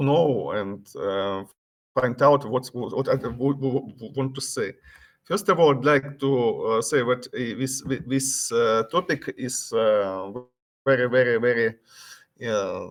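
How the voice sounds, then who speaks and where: Speaking at a very slow pace, a man with a Russian accent uses a medium pitch and ordinary pitch variation. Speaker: conference speaker. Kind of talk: conference presentation. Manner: halting.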